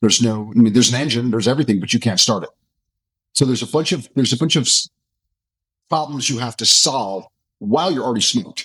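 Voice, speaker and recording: Very fast speech broken by long, frequent pauses carries lively intonation. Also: man, medium pitch for a man. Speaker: special operations veteran and tactical instructor. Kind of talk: interview conversation. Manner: halting, many repeated words.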